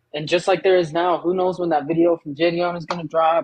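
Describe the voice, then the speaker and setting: The sound is dry and close, with no echo. A man talks at a fairly quick pace in a high voice. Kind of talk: casual chat. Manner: stuttering.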